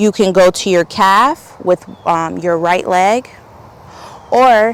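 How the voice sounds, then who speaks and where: A woman's voice sits at medium pitch with ordinary pitch variation. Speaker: yoga instructor. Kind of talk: yoga class instruction.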